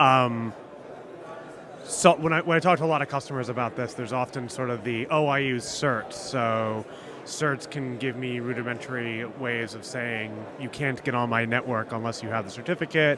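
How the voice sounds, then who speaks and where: A man's voice at a moderate pace, fairly even in intonation, over noticeable background noise. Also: medium pitch for a man. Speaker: audience member asking a question. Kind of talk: audience question.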